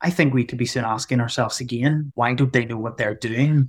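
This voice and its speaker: With a Northern Irish accent, a man talks at a fairly quick pace in a medium pitch. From Northern Ireland. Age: 30s. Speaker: doctor in geriatrics. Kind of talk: conversational interview.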